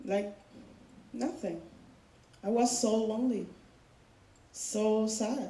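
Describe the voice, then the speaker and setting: In a room with audible echo, a woman with a fairly high pitch and a dark, mellow, somewhat breathy tone speaks at a very slow pace with long, frequent pauses and ordinary pitch variation. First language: not English. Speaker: student speaker sharing personal story. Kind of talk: personal testimony speech.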